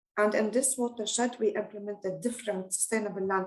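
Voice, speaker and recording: A woman's fairly high voice with a dark, mellow tone at a fairly quick pace. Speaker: researcher presenting at a webinar. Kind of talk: conference presentation. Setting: online webinar. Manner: hesitant, many fillers.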